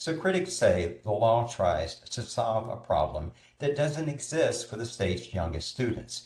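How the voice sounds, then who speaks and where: A man with an American accent speaks at a fairly slow pace with hardly any pauses. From North Carolina. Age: 60s. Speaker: film festival coordinator. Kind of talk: prepared talk.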